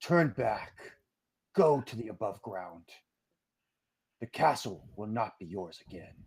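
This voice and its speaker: Using a put-on character voice, the speaker goes at a fairly slow pace with long, frequent pauses. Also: man, fairly low pitch for a man. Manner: menacing.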